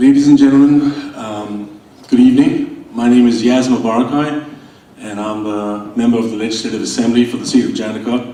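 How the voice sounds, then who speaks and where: Fairly quick, fairly even speech from a man at medium pitch, with big swings in loudness, noticeable background noise, and audible room echo. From India. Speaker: state politician. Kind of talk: welcome speech at event. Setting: stage with audience.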